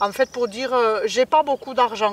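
Her fairly high voice shows ordinary pitch variation as a woman talks at a moderate pace.

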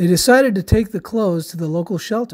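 Speech at a fairly quick pace comes through on a very clean recording with a silent background. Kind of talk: children's story read-aloud. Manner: dramatic, expressive.

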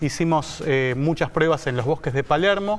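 Music in the background behind a man at a moderate pace, with ordinary pitch variation. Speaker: guest. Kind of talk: interview answer. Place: studio. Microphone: lapel.

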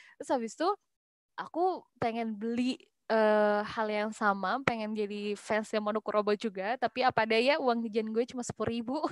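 Dry with no echo, a woman's plain, everyday voice sits at a fairly high pitch, with ordinary pitch variation at a moderate pace. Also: quiet background. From West Java, Bandung; West Java. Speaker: young entrepreneur, hijab brand founder; guest. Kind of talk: webinar talk, casual. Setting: video call. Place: home room. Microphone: video call.

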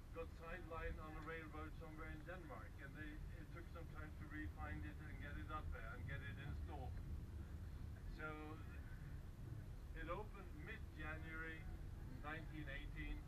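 Long, frequent pauses break up a man's speech against loud background noise. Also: moderate pace. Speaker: local guide or host. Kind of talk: informal tour commentary. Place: train. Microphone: camera far.

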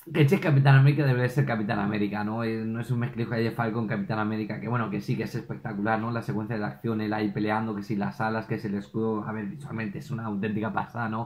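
A man at medium pitch, very fast and animated in tone. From Spain. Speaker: YouTube film reviewer. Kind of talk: solo video review. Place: home room.

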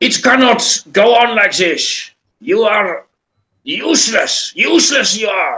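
Using a put-on character voice, a man talks at a fairly slow pace in an extremely high pitch. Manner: scolding, angry.

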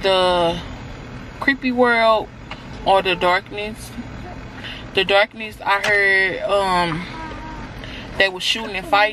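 A woman talks at a very slow pace and medium pitch, leaving long, frequent pauses. Noticeable background noise sits behind her. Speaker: lifestyle vlogger. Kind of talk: casual vlog. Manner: animated.

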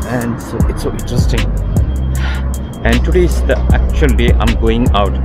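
Over clear music in the background, a man speaks at a moderate pace, the sound dry with no echo. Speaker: travel vlogger. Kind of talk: casual vlog chat. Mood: curious, slightly nervous. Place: street. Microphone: phone near.

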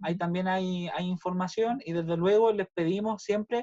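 A man with a Chilean accent speaks at a moderate pace with fairly even intonation against a quiet background. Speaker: university school director; school staff member hosting the welcome. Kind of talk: virtual welcome meeting. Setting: video call. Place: home room. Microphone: video call.

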